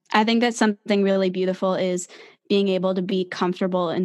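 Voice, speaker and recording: A woman in an American accent, monotone and flat in intonation, over a quiet background. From New Jersey, near New York City. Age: 20s. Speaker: singer-songwriter. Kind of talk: casual interview.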